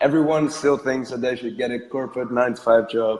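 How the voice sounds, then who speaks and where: This man speaks with a Dutch accent. His pace is fairly quick. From Netherlands. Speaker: entrepreneur, podcast guest. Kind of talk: casual interview.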